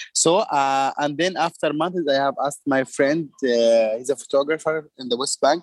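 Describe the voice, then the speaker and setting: The sound is dry and close with no echo. A man speaks with a fairly high pitch at a fairly slow pace. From Palestine. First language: Arabic. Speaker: artist. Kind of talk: casual chat. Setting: video call. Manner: halting.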